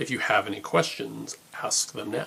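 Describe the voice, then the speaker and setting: A booming put-on character voice from a man at a moderate pace. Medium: read story. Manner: menacing.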